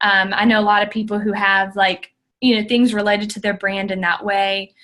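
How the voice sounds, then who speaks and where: With an ordinary speaking voice, a woman talks at a moderate pace in a fairly high pitch. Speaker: social media guest speaker. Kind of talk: tutorial. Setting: conference call.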